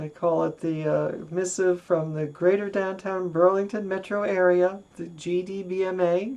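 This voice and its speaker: A woman with an American accent talks at a moderate pace with hardly any pauses, her intonation monotone and flat. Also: medium pitch for a woman. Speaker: retired diplomat and transgender activist. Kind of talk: personal video message. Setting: home office.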